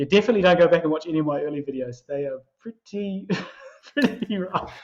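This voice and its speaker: With a New Zealand accent, a man talks at a very fast pace. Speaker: finance YouTuber. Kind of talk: casual chat.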